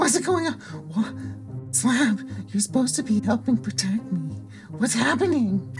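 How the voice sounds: A put-on character voice at a moderate pace, with clear music in the background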